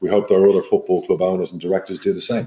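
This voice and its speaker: The pace here is very fast. The speaker is a man with an Irish accent. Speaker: football club chairman and podcast host. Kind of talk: solo podcast monologue.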